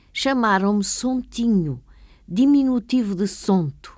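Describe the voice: A woman's medium-pitched voice with lively intonation, in a very clean recording with a silent background.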